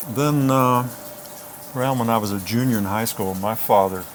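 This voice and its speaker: With music in the background, the speaker talks at a fairly quick pace using fairly even intonation. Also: man. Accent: American. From Virginia, US South. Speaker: singer-songwriter. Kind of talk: casual chat.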